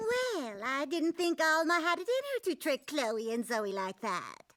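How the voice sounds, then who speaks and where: A cartoonish character voice, high-pitched with very wide pitch swings, at a moderate pace. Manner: condescending, smug.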